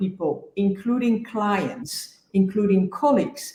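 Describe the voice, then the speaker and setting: With a Dutch accent, a woman speaks at a medium pitch. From Netherlands. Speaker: executive coach. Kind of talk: panel discussion.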